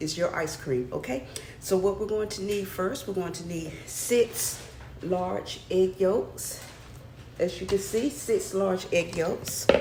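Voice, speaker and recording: Soft-spoken words come in an American accent at a very slow pace. The room has audible echo, and the background noise is noticeable. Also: woman, medium pitch for a woman. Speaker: cooking channel host. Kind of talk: cooking tutorial. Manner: chatty.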